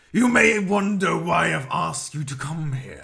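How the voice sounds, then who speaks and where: Doing a put-on character voice, a man speaks at a high pitch with lively intonation and a moderate pace. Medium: actual play. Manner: measured, formal.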